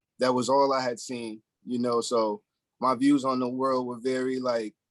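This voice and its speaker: At a moderate pace, a man with an American accent speaks in a medium pitch with monotone, flat intonation. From Springfield, Western Massachusetts. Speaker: special education teacher. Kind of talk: casual chat. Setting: podcast interview.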